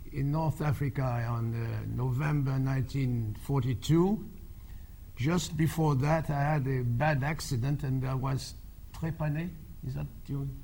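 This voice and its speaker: In a French accent, a man speaks at a fairly slow pace with medium pitch, ordinary pitch variation and a somewhat breathy quality, and audible room echo surrounds him. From France. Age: 80s+. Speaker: war veteran. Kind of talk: talk to an audience. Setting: stage with audience. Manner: halting.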